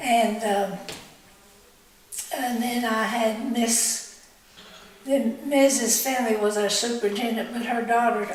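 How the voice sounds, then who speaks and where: A woman's fairly high voice in an Ozarks accent, monotone and flat, at a very slow pace, with noticeable background noise and audible room echo. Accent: Southern US (Arkansas Ozarks). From Cane Hill, Arkansas, US South. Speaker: local elder recounting history. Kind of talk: oral history interview. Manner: halting, with frequent fillers.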